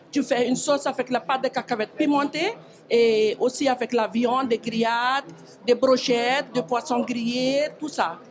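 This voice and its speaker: A woman speaks at a fairly slow pace in a high voice. Her intonation stays fairly even. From French Guiana, Mana. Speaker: food producer. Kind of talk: interview at fair stand. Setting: agricultural fair. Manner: halting.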